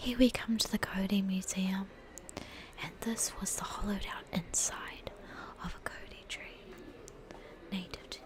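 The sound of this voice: A woman whispering at a fairly slow pace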